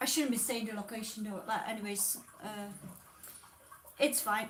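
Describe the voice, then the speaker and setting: A woman speaks with a slight non-native accent and fairly even intonation. Room echo is audible, and background noise is noticeable. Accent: slightly non-native English. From Czech Republic. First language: Czech. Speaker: tarot reader. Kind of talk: live stream chat. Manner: hesitant, with many fillers.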